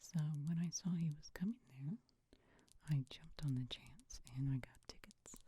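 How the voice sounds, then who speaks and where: Soft-spoken delivery at a fairly slow pace. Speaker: ASMR creator. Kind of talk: ASMR ramble.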